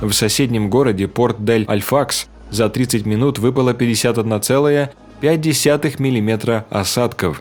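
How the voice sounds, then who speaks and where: With music in the background, a man speaks at a moderate pace and medium pitch, with ordinary pitch variation and very even loudness. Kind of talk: news narration.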